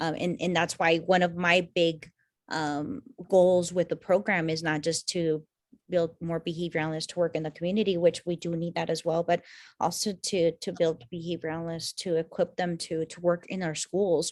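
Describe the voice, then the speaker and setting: On a very clean recording with a silent background, a woman with a fairly low pitch speaks at a moderate pace with monotone, flat intonation, the sound dry and close with no echo. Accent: Spanish. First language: Spanish. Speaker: university program director. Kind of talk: information session Q&A. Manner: halting, many fillers.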